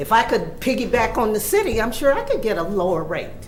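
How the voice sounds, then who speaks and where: With lively intonation and a moderate pace, a woman talks through noticeable background noise and audible room echo. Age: 60s. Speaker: retired resident speaking at public comment. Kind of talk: public comment at a board meeting. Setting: township board meeting room. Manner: animated.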